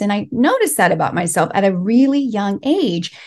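A woman speaks fairly slowly in a fairly high, somewhat breathy voice. Her pitch swings very widely. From Los Angeles, US, Mexican immigrant family. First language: Spanish. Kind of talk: interview. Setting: remote call.

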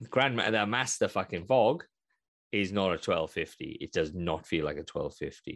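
The speaker is a man with a Welsh accent. He talks at a moderate pace. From Wales. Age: 30s. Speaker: gaming podcast co-host. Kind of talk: casual chat. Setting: video call.

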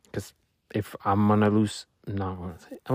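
With a Spanish accent, speech moves at a fairly quick pace in a very clean recording with a silent background and a dry, close sound with no echo. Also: man. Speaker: solo podcaster. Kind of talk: personal weekly reflection monologue. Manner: halting, many fillers and restarts.

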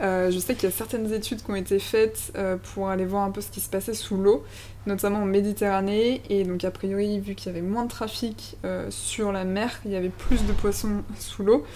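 Monotone, flat intonation from a woman at a medium pitch and a moderate pace. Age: 30s. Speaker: podcast host. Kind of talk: interview.

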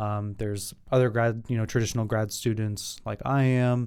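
A man at medium pitch with an ordinary speaking voice, fairly even intonation, and a very clean recording over a silent background. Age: 20s. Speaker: podcast host, graduate student. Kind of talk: casual chat.

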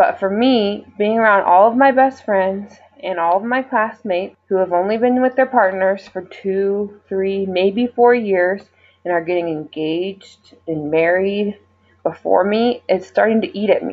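This woman has a normal speaking voice with a medium pitch. She talks at a fairly slow pace with ordinary pitch variation. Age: 20s. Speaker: physician assistant student, listener. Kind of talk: recorded voice message.

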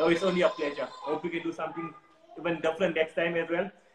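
Over noticeable background noise, a man talks at a very fast pace. His pitch is fairly high. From South Africa. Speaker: watch collector and social media creator. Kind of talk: live interview.

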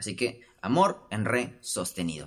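A man speaks in an animated tone. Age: 20s. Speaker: podcast host. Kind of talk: casual solo monologue.

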